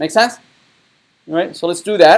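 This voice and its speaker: A man with a non-native accent. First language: not English. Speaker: university web development lecturer. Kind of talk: lecture. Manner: halting, many fillers.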